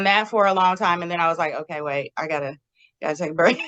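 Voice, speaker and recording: This woman has an ordinary speaking voice with a fairly low pitch. Her pitch varies in an ordinary way. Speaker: early childhood educator and school principal. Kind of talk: interview answer.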